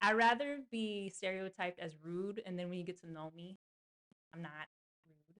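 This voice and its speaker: A woman with a slight Southern US accent speaks in an animated tone at a moderate pace, with ordinary pitch variation, big swings in loudness and long, frequent pauses, in a dry, close sound with no echo. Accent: slight Southern twang on certain words. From US South (Georgia). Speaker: podcast host. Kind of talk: casual chat.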